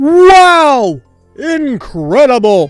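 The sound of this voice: A put-on character voice speaks at a high pitch. Faint music plays in the background.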